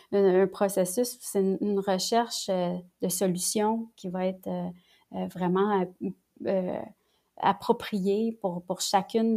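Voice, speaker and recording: Very slowly, a woman speaks in a dark, mellow tone, captured in a very clean recording with a silent background. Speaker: lawyer and family mediator. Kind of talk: casual interview conversation. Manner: halting, repeats words.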